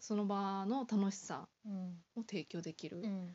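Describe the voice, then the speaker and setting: With a medium pitch and fairly even intonation, a woman speaks in a somewhat breathy voice. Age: 20s. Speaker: office worker guest. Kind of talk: casual interview. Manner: halting.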